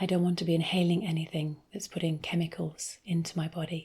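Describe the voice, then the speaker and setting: In a British accent, a soft-spoken woman talks with a fairly low, somewhat breathy voice and a monotone, flat intonation. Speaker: ASMR creator and essential oils seller. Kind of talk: ASMR soft-spoken ramble.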